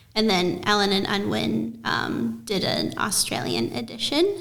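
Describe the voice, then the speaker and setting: Audible room echo follows a woman speaking with an American accent. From United States. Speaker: author and illustrator. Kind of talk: interview.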